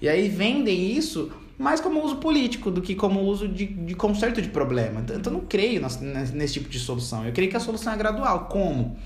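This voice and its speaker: A man with a high pitch talks at a fairly quick pace, with hardly any pauses and very wide pitch swings. Audible room echo surrounds his voice. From Brazil, Campo Grande, Mato Grosso do Sul. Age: 20s. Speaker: law student. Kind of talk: podcast interview. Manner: halting.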